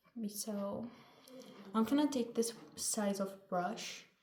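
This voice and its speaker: Noticeable background noise fills the recording. Through it, a woman talks at a fairly high pitch. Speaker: vlogger. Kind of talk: casual vlog, makeup tutorial. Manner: loud. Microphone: no microphone, camera mic.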